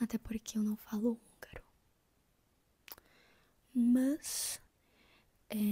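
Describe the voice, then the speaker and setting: Soft-spoken and calm in tone, a woman talks at a fairly high pitch with a dark, mellow quality. Her voice is somewhat breathy, and her intonation stays fairly even. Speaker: book reviewer. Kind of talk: soft-spoken book review. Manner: soft-spoken, calm.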